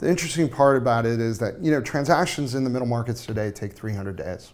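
A man with an American accent talks at a moderate pace with ordinary pitch variation. Light background noise sits behind him. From US West Coast. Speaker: startup co-founder; panelist. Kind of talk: roundtable interview. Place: office. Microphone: lapel.

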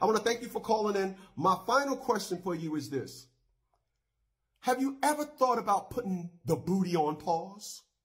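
A man's high voice with very wide pitch swings at a moderate pace, quiet background. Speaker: talk show host. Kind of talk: call-in radio show hosting. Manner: casual. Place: studio. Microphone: studio mic.

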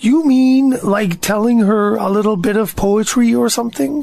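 Using a put-on character voice, a man speaks at a moderate pace in a high pitch. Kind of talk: audio drama performance.

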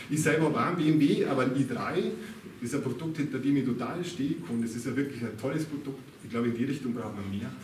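Over light background noise and audible room echo, a man with a Bavarian accent talks at a fairly quick pace. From Upper Bavaria, Ebersberg district. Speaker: local politician. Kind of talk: political speech. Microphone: camera far.

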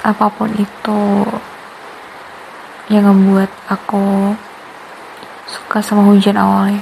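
A woman's medium-pitched, monotone, flat delivery at a very slow pace, with long, frequent pauses and noticeable background noise. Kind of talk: ASMR girlfriend roleplay. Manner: sweet, playful.

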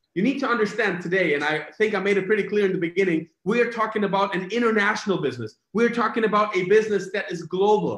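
Over a quiet background with audible room echo, a man talks very fast and animated at a high pitch, with hardly any pauses. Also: ordinary pitch variation. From Germany. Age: 30s. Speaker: network marketing presenter. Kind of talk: sales pitch. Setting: video call. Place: home room.

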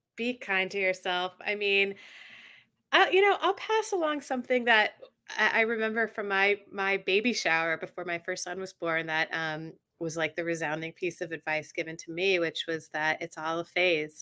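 A woman at a moderate pace, with an American accent, a bright, sharp tone and ordinary pitch variation, over a quiet background. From US South, Atlanta; US South. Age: 40s. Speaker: journalist and author; journalist. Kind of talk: casual interview chat. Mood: warm, reflective. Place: home room. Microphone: video call.

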